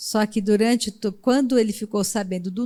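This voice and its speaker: A woman speaks at a moderate pace in a dark, mellow tone, on a very clean recording with a silent background. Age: 60s. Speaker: preacher. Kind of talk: sermon.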